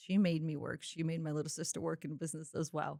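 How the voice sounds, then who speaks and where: With a Croatian accent, a woman with a fairly low voice speaks at a fairly quick pace, the sound dry and close with no echo. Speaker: entrepreneur. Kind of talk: podcast interview.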